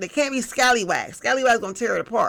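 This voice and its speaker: This woman talks at a fairly quick pace in an animated tone, with vocal fry and ordinary pitch variation. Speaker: tarot reader. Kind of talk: collective tarot reading.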